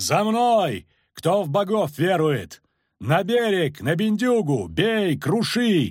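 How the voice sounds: In a put-on character voice, a man bellows slowly at a high pitch with big pitch swings and a slightly husky edge, on a very clean recording with a silent background.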